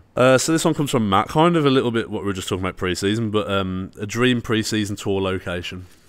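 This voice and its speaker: Speaking in a Brummie accent, a man with fairly low pitch moves at a very fast pace with lively intonation. The recording is very clean, with a silent background. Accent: Brummie (Birmingham) English. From Birmingham, England. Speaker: football YouTuber. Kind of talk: casual chat. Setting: social club venue.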